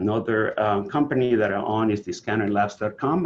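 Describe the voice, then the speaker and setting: A man's fairly low voice with a Venezuelan accent and fairly even intonation. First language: Spanish. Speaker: health author and website founder. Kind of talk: presentation. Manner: hesitant, many fillers.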